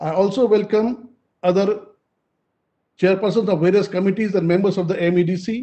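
A man's high-pitched voice with an Indian accent, fairly even intonation and a moderate pace, against a quiet background. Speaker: event moderator. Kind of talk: formal speech. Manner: formal. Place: home room. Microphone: video call.

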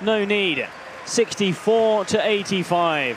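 An excited tone comes through over noticeable background noise. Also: man. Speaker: basketball commentator. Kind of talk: live sports commentary. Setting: game broadcast voiceover. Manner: excited, rising pitch on big shots.

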